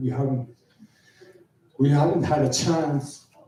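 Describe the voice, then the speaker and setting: A man's somewhat breathy, fairly high-pitched voice with a dark, mellow tone at a moderate pace. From northwestern Alberta, Canada (Dene community, Meander River). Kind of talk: conference talk. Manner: halting, with frequent fillers and repetitions.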